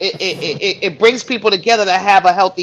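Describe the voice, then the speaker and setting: The speaker talks at a fairly quick pace. The delivery comes with a New York accent. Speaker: live stream panelist. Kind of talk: live panel discussion.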